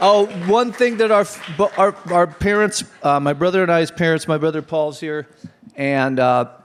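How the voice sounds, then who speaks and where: A man's high-pitched voice at a fairly slow pace, with noticeable background noise. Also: lively intonation. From Topanga Canyon, Southern California (born in Australia). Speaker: tile business owner. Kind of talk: personal anecdote at community gathering. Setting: community hall with audience.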